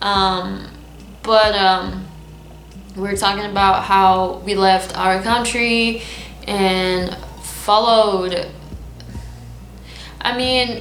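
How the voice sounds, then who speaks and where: A woman at medium pitch talks very slowly in a flat monotone, with long, frequent pauses. Music plays in the background, and the room echo is audible. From Lebanon. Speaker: vlogger. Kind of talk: casual vlog monologue. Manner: halting, unscripted.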